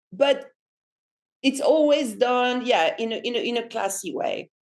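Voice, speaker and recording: A woman speaks with a French accent. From France. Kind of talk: podcast interview answer. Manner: casual, chatty.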